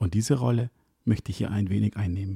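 In a dry, close sound with no echo, a man speaks fairly quickly, his voice somewhat breathy with a dark, mellow tone. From Ecuador, then Hamburg from school age. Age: 30s. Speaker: wedding DJ and podcast host. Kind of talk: scripted solo podcast intro.

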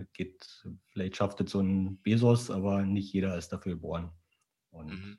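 With long, frequent pauses, a man speaks in a very deep, low pitch, his dark, mellow tone delivered in a monotone, flat intonation. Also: moderate pace. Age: 40s. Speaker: e-commerce founder. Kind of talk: interview.

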